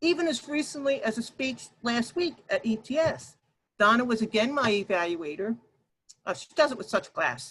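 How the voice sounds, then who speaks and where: Loud and at a moderate pace, a woman speaks with very wide swings in pitch. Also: fairly high pitch for a woman. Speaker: workshop presenter. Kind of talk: workshop presentation. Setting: video call.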